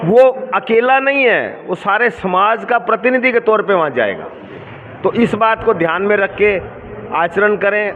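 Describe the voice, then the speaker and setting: A man with a high pitch and ordinary pitch variation, against noticeable background noise. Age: 60s. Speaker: lawyer and community leader. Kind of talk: interview.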